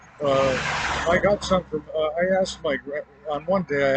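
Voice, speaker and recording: Through noticeable background noise, a man speaks with an American accent. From Miami, Florida. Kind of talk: spoken personal report to camera. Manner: hesitant, many filler pauses.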